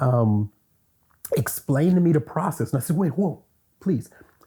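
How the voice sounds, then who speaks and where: A man with an American accent speaks in a dark, mellow, somewhat breathy tone with very wide pitch swings. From US South, Louisiana. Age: 60s. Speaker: university lecturer. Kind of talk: interview.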